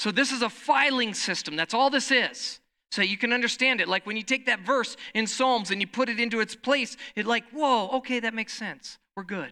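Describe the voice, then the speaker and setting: Hardly pausing at all, the speaker keeps to a moderate speed. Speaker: pastor. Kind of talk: sermon. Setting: church.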